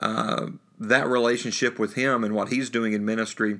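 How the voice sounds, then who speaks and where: A man's medium-pitched voice with a bright, sharp tone, a Southern US accent, fairly even intonation and a moderate pace. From US South, North Alabama. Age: 30s. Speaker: pulpit minister. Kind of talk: interview.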